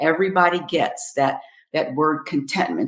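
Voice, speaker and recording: This is an unremarkable speaking voice at a fairly slow pace. The intonation is lively. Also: woman. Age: 60s. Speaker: happiness coach. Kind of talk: interview. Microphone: poor audio quality.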